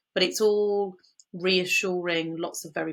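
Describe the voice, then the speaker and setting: This woman speaks with a slight West Country accent. Her intonation stays fairly even. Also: very clean recording, silent background. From England, Bristol (West Country). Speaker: business founder, first aid trainer. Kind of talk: interview.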